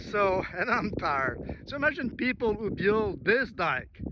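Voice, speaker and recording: A man with an Acadian accent, high-pitched and fairly slow, against noticeable background noise. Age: 60s. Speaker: amateur local historian vlogger. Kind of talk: outdoor vlog narration. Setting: outdoors on a marsh shoreline.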